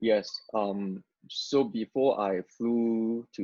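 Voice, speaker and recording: Dry, close, echo-free sound of a man with a Cantonese accent, dark, mellow tone and fairly even intonation. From Hong Kong, moved to Vancouver area at 12. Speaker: former rapper turned missionary. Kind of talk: testimony interview. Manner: halting, many repetitions and fillers.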